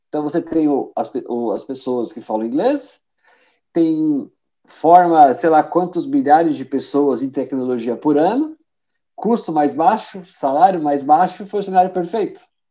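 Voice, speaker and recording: At a fairly slow pace, a man with a fairly high pitch and a dark, mellow tone speaks with lively intonation. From Brazil, São Bernardo do Campo (São Paulo). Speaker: IT professional and course instructor. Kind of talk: casual interview.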